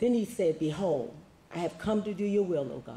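Light background noise runs under a man's voice. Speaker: prayer leader and scripture reader. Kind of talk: prayer and scripture reading. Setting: church meeting. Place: home room. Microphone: handheld.

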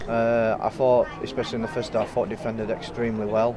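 A man speaks while noticeable background noise carries on around him. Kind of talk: interview answer. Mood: pleased after a win.

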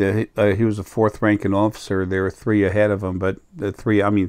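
A man speaks with a fairly low pitch and a monotone, flat intonation. The background is quiet. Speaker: spiritual channel vlogger. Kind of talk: casual vlog chat. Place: home room. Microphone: lapel.

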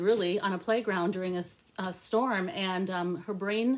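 Ordinary pitch variation marks a woman's speech at a moderate pace. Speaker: book reviewer. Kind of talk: casual vlog chat. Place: home room. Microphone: phone near.

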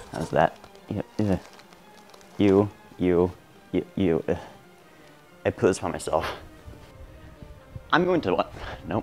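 A man's very deep, low voice at a very slow pace, with ordinary pitch variation, long, frequent pauses and faint music in the background. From Portland, Oregon. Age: young. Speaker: comedy YouTuber. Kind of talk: comedy skit bloopers. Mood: playful, flubbing lines. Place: home room.

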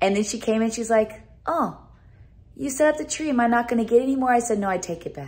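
The delivery is very fast, with lively intonation. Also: woman. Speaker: vlogger. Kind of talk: casual vlog chat. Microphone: phone near.

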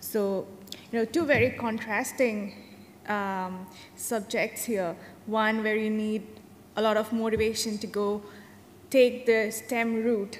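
With an Indian accent, the speaker goes at a very slow pace with long, frequent pauses and fairly even intonation over light background noise. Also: woman. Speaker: data scientist; panelist. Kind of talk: panel discussion. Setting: stage with audience. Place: hall. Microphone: podium.

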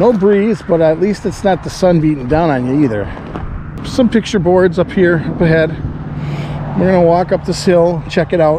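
A man speaks at a high pitch with ordinary pitch variation. The sound is dry with no echo, and there is noticeable background noise. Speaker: travel vlogger. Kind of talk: casual vlog chat, reading a marker aloud. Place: open country. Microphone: phone near.

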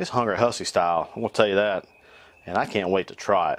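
A man's fairly low voice in a North Carolina accent, with ordinary pitch variation. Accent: Southern US (North Carolina). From US South, North Carolina. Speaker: cooking YouTuber. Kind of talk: cooking tutorial. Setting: outdoors on back porch. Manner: animated. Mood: upbeat, jokey. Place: garden.

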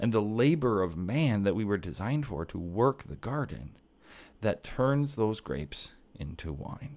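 A man with a fairly low pitch speaks at a fairly slow pace, his voice making very wide pitch swings. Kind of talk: casual theology monologue. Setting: home kitchen table. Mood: earnest, warm. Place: home room. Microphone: studio mic.

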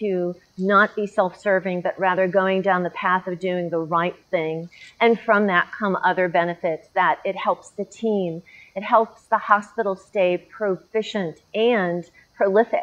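A woman speaking at a fairly slow pace with fairly even intonation. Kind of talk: interview answer. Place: garden. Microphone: lapel.

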